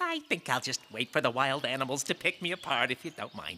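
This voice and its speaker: This is a cartoonish character voice at a low-to-middle pitch. The delivery runs at a fairly quick pace. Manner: pompous, self-aggrandizing.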